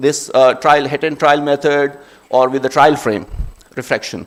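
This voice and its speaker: With a Pashto accent, a man speaks in a monotone, flat intonation at a moderate pace and a fairly high pitch. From Khyber Pakhtunkhwa, Pakistan. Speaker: optometry speaker. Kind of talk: conference presentation.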